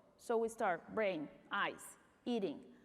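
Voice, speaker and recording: Speaking with a Spanish accent, the woman keeps a moderate pace. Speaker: pediatric neuromuscular doctor. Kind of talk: conference talk.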